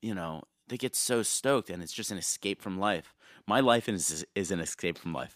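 Recorded very cleanly against a silent background, with a dry, close sound and no echo, a man with an American accent speaks in an unremarkable speaking voice at a fairly low pitch, moderate pace and ordinary pitch variation. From New York area / New Jersey. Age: 30s. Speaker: tour manager and merch seller. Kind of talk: casual interview chat.

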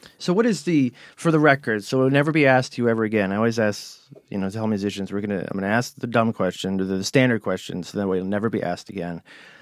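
In a Cleveland accent, a man with a fairly low voice talks at a very fast pace with ordinary pitch variation. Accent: Cleveland, Ohio. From Cleveland, Ohio. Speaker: magazine podcast interviewer. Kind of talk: casual interview chat. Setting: studio.

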